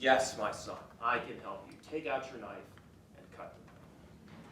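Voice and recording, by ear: Putting on a booming character voice, a man at a medium pitch speaks at a fairly slow pace with big swings in loudness and a slight echo.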